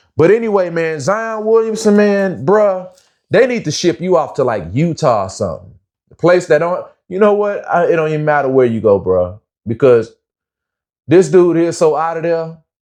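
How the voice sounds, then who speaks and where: Against a quiet background, a man speaks at a moderate pace in a high pitch with lively intonation, an animated tone and big swings in loudness. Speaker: commentary vlogger. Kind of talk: casual commentary rant.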